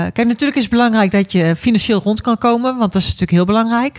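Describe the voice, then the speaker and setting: Speaking very fast in a Brabant accent, a woman keeps an ordinary amount of pitch variation. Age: 40s. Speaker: care worker. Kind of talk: casual chat.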